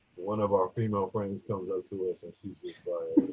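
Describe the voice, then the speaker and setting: A man speaks with ordinary pitch variation. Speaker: former college basketball player. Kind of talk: casual chat. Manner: animated.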